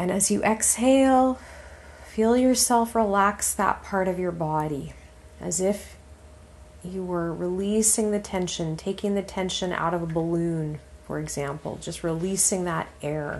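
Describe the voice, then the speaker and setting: A woman with a normal speaking voice talks at a fairly slow pace in a medium pitch with ordinary pitch variation. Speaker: meditation guide. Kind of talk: guided relaxation meditation, spoken as gentle instructions. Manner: slow, calm, soothing, with long pauses between phrases; soft-spoken and steady, giving gentle cues to breathe.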